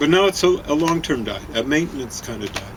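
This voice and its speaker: Noticeable background noise sits behind a man speaking at a moderate pace. His pitch varies in an ordinary way. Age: 70s. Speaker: co-host of a diet video show. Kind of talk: casual chat. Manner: halting, many fillers.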